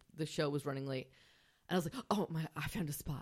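Talking at a very fast pace, a woman with a very deep, low pitch and a Long Island accent shows ordinary pitch variation. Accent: Long Island New York. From Long Island, New York. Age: 20s. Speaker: comedian. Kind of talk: casual chat, podcast interview.

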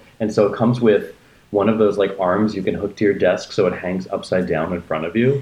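Very fast speech from a man, fairly low-pitched, somewhat breathy, with a dark, mellow tone. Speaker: podcast co-host. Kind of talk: casual chat.

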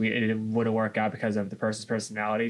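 This man has a fairly low pitch. His intonation stays flat and monotone. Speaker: podcast co-host. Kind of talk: casual chat. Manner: fast talker.

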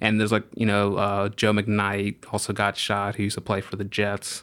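An American accent at a fairly quick pace on a very clean recording with a silent background. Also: man. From US South, New Orleans. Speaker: journalist. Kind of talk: casual chat.

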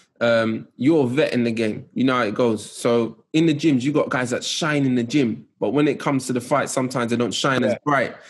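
With a London accent, a man speaks at a fairly quick pace and medium pitch, with ordinary pitch variation. His loudness stays very even against a quiet background. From West London, England. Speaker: podcast host. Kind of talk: interview.

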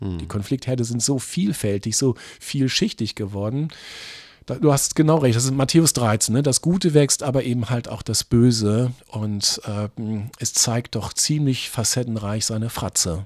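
A man with an unremarkable speaking voice talks at a fairly slow pace and a medium pitch with ordinary pitch variation. The recording is very clean, with a silent background. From eastern Lower Saxony, Germany. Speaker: pastor and author. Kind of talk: casual interview about theology.

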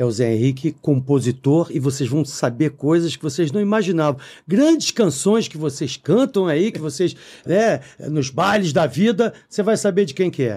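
Speaking in a Rio de Janeiro accent, a man with a fairly high pitch talks at a moderate pace in an animated tone with lively intonation, in a very clean recording with a silent background. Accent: Carioca Brazilian Portuguese. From Brazil, Rio de Janeiro (Copacabana). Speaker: podcast co-host and musician. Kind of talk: casual chat.

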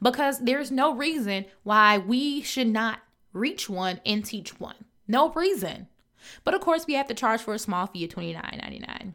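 A woman's animated, bright and sharp voice at a moderate pace. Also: lively intonation. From US Midwest, Chicago. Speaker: podcast host, business coach. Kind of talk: motivational solo podcast.

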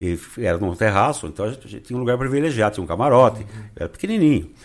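A man at a very fast pace with lively intonation, on a very clean recording with a silent background. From Brazil, Rio Claro (São Paulo state). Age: 60s. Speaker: social columnist and carnival designer. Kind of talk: casual interview.

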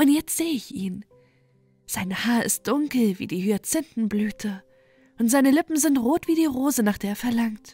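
With music in the background, a woman speaks in a high pitch with lively intonation, the sound dry and close with no echo. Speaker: audiobook narrator. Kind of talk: bedtime story reading aloud. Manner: slow, soft, soothing and calm, with a lulling storytelling rhythm.

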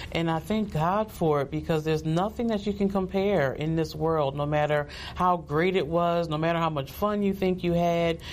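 A woman speaks with an American accent in a normal speaking voice, her pitch fairly low and its variation ordinary. Her loudness stays very even at a moderate pace, with hardly any pauses. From New Jersey. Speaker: pastor. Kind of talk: testimony.

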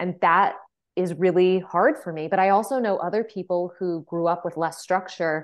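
A woman speaks in a plain, everyday voice at a medium pitch. Her intonation is fairly even and her pace moderate. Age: 30s. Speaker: podcast host. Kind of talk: casual chat.

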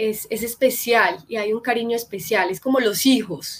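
Speaking in a normal speaking voice, a woman uses a fairly high pitch with ordinary pitch variation. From Colombia, Medellín. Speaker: actress and psychologist. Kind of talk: live-stream interview.

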